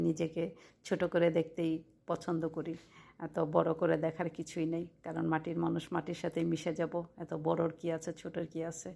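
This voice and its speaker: A fairly low-pitched woman's voice with vocal fry, a dark, mellow tone and monotone, flat intonation, on a very clean recording with a silent background. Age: 40s. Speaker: vlogger. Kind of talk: personal vlog monologue.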